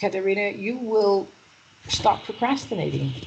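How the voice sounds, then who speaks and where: A woman speaks at a moderate pace and a fairly high pitch while noticeable background noise plays behind her. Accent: American. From US Northeast, Manhattan New York. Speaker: EFT practitioner and mindset coach. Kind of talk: interview.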